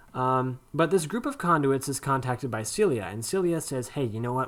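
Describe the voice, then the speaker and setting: A man of medium pitch speaks at a moderate pace, his voice making very wide pitch swings. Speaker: gaming video commentator. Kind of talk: casual monologue commentary. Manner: halting, stutters while gathering thoughts.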